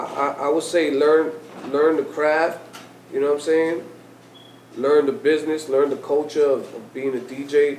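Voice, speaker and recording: Audible room echo and noticeable background noise frame a man with a fairly high pitch who talks at a moderate pace, pausing long and often. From New York, Lower East Side. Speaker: DJ and radio host. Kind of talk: interview conversation. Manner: loud; animated.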